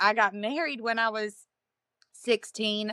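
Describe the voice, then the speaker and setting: A woman's raised, projected voice with a bright, sharp tone and an American accent, at a very slow pace. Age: 30s. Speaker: interviewee sharing life story. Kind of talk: personal testimony interview. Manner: hesitant, many fillers.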